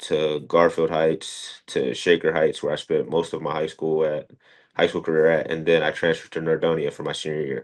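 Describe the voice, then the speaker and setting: Over a quiet background, a man with an American accent talks at a fairly quick pace. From US Midwest, Cleveland area, Ohio. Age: 20s. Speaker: college wrestler. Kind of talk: podcast interview. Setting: studio. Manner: casual, many fillers.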